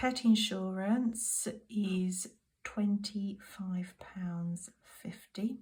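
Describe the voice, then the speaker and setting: A woman with a British accent speaks at medium pitch, sounding somewhat breathy. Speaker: budgeting vlogger. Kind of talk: casual monologue to camera. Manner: soft-spoken.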